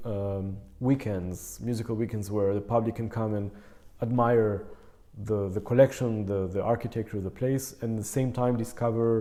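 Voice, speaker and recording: A man with a non-native accent speaks at a medium pitch and moderate pace. His tone is dark and mellow, and his intonation fairly even. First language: not English. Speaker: concert pianist. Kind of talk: casual interview. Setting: in person, Berlin. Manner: halting, many fillers.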